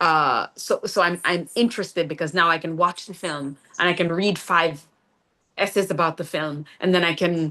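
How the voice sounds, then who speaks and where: Over a quiet background, a woman with a Jamaican accent speaks at a fairly low pitch. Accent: Jamaican, kept on purpose. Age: 50s. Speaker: playwright and poet. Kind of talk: interview conversation. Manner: hesitant, many fillers and repeats.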